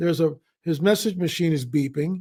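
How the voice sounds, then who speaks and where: A man with a high pitch and ordinary pitch variation talks at a moderate pace in a very clean recording with a silent background. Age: 70s. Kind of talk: interview.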